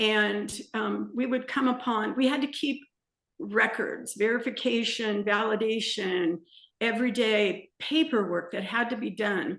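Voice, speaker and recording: A woman speaks in a plain, everyday voice with an American accent. Her pitch is fairly high, with ordinary variation, and her pace is fairly slow. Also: quiet background. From Southern California. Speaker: small business owner, salsa maker. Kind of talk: interview, casual chat.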